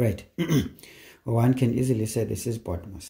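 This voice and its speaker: The man's voice is fairly low in pitch, with a dark, mellow tone. He talks at a fairly slow pace with vocal fry. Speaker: maths teacher. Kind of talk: tutorial.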